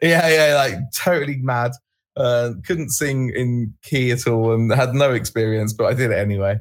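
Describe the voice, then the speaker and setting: Using an ordinary speaking voice, a man speaks at medium pitch and a moderate pace, with ordinary pitch variation and very even loudness. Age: 30s. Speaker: rock band singer. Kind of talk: casual interview. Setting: online call.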